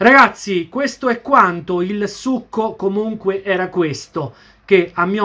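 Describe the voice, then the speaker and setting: Speaking at a very slow pace, a man uses lively intonation and a bright, sharp tone. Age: 40s. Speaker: football YouTuber; football fan vlogger. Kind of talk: video commentary monologue. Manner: repetitive, animated. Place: home room. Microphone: webcam.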